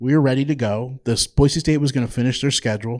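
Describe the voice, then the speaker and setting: A man at medium pitch with a slight New Jersey accent, ordinary pitch variation and a fairly quick pace, on a very clean recording with a silent background. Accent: slight New Jersey accent on certain words. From New Jersey (Toms River). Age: 40s. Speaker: minor league baseball team executive. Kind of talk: live interview. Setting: stage with audience.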